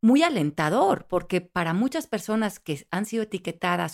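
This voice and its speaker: A woman speaks in a plain, everyday voice with lively intonation. Her pace is moderate, and the recording is very clean with a silent background. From Mexico. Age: 50s. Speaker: life coach and author. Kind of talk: interview conversation.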